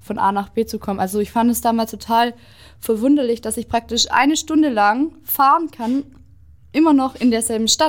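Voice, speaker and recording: A woman talks at a fairly quick pace in a normal speaking voice, fairly high in pitch. Her pitch variation is ordinary, and the recording is very clean with a silent background. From southwestern Germany (Stuttgart area, Oberkochen). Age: 20s. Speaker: vlog host. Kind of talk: casual chat.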